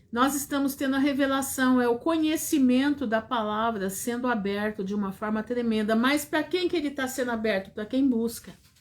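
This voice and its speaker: Her voice is high and moves with ordinary pitch variation. The woman keeps a moderate pace with hardly any pauses. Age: 60s. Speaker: preacher. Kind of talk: sermon.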